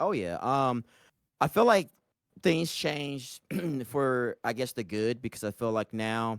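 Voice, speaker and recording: A man with a medium pitch and lively intonation speaks at a fairly slow pace with long, frequent pauses, in a very clean recording with a silent background and a dry, close sound with no echo. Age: 40s. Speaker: gaming content creator and streamer. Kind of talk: casual interview. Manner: animated.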